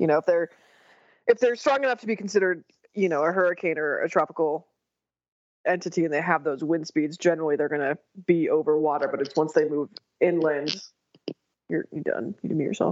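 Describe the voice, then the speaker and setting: A woman's fairly low voice at a very fast pace, broken up by long, frequent pauses. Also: ordinary pitch variation. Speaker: meteorologist. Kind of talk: casual chat.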